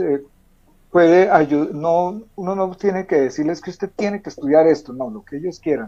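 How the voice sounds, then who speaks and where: A man's fairly high-pitched voice, dark and mellow in tone, with ordinary pitch variation at a moderate pace. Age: 60s. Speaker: author. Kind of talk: interview. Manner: halting.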